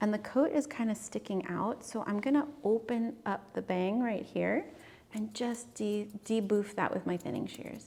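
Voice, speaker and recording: A woman speaks at a fairly high pitch with a dark, mellow tone. Her pace is fairly slow, with ordinary pitch variation. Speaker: dog groomer. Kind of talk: tutorial.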